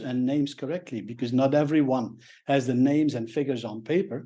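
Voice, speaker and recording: Over a quiet background, a man with a Flemish accent speaks at a fairly quick pace and medium pitch, his tone dark and mellow and his intonation fairly even. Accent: Belgian (Flemish) English. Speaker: professional speaker. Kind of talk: interview. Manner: hesitant, many fillers.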